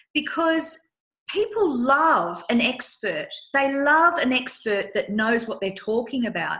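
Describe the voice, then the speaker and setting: In an Australian accent, a woman with a high pitch and a bright, sharp tone talks at a fairly slow pace in a raised, projected voice, her pitch swinging very widely. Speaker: business consultant podcast host. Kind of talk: casual chat.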